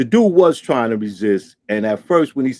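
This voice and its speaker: The delivery has lively intonation at a moderate pace. The sound is dry and close, with no echo. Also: man. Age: 60s. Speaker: podcast host. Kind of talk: casual commentary monologue. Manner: animated.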